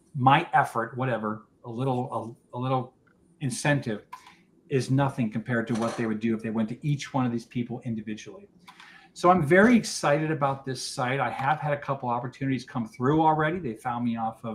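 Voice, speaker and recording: A man talks at a fairly quick pace in a medium pitch with ordinary pitch variation, over noticeable background noise. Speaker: business founder presenting at networking meeting. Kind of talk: business presentation. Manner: fast.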